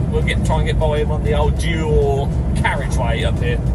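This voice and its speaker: A man speaks at a fairly quick pace. Loud background noise runs under him. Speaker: lorry driver vlogger. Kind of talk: casual vlog chat. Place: car. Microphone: phone near.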